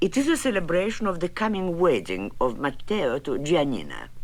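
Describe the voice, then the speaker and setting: A woman with a fairly low voice speaks at a moderate pace. Her voice has vocal fry. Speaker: retired ballerina. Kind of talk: interview answer.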